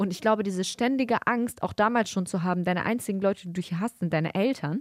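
A woman talks very fast at medium pitch, her voice dry and close with no echo on a very clean recording with a silent background. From Germany. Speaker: podcast co-host. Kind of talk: casual chat.

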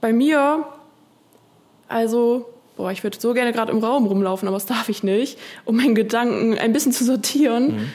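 Long, frequent pauses, a moderate pace and ordinary pitch variation. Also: woman, fairly high pitch for a woman. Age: 30s. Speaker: contemporary dancer. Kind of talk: casual chat.

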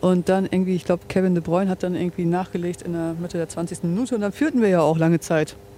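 This woman talks very fast with hardly any pauses, her fairly low voice keeping a fairly even intonation. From Bremerhaven, northern Germany. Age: 30s. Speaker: football fan. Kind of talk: casual chat. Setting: outdoors by and inside a stadium.

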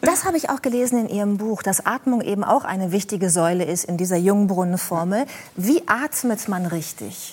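A woman speaks at a moderate pace with lively intonation and a medium pitch, with noticeable background noise. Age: 40s. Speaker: talk show host. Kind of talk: talk show interview.

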